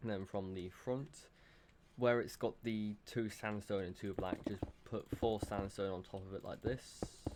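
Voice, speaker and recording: Mumbling at a fairly slow pace, a man keeps a fairly low pitch and fairly even intonation. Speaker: Minecraft building tutorial creator. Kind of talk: casual tutorial narration. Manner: mumbling, hesitant.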